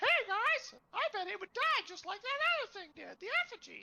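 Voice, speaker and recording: A put-on character voice, squeaky and extremely high in pitch. It moves at a fairly quick pace. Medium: actual play.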